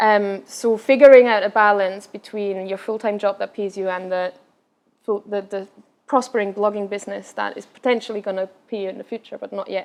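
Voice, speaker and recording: The voice carries a slight Scottish accent. Intonation stays fairly even while loudness swings widely. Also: woman, medium pitch for a woman, fairly quick pace. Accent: slight Scottish tinge in English. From Austria, Vienna. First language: Austrian German. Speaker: travel blogger. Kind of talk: Q&A after a talk.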